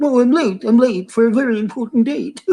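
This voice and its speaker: Put on as a character voice, this female-sounding voice runs at a fairly quick pace with a fairly high pitch. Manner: fretful, rushed.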